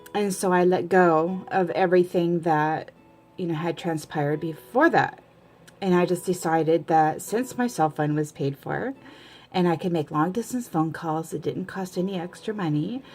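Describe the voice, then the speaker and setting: With music in the background, a woman speaks at a moderate pace in a fairly low pitch with ordinary pitch variation. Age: 40s. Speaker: video blogger. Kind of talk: personal vlog monologue.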